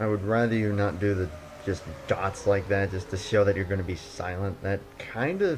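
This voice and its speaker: With fairly even intonation and a fairly low voice, a man talks while music plays in the background. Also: moderate pace. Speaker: sim racing commentator. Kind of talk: casual live-stream race commentary.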